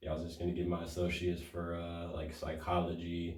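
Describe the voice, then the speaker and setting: A man's very deep, low voice in an American accent, somewhat breathy, at a fairly quick pace with audible room echo. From Detroit, US. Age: young. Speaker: rapper. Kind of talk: interview. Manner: halting.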